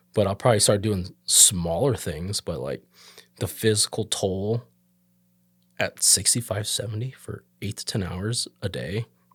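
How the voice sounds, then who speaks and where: A somewhat breathy voice with ordinary pitch variation and a fairly slow pace, dry and close with no echo, on a very clean recording with a silent background. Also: man, fairly low pitch for a man. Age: 30s. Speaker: tattoo artist. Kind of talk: casual chat.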